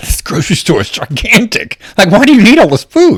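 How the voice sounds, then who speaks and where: Using a put-on character voice, a man speaks at a fairly quick pace and a high pitch with very wide pitch swings. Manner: amazed, incredulous.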